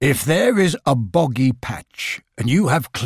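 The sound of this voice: In an unforced reading voice with lively intonation, the speaker is heard over a quiet background.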